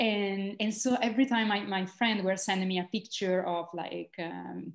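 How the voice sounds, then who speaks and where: At a fairly slow pace, a woman speaks with an Italian accent and fairly even intonation. The background is quiet. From Italy. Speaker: social entrepreneur and university lecturer. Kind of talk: interview conversation. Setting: video call. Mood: warm, reflective. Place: home room. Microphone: video call.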